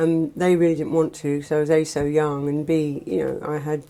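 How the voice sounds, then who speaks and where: A woman with a very deep, low pitch, monotone, flat intonation and an English accent. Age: 40s. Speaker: former heroin addict. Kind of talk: testimony. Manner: halting.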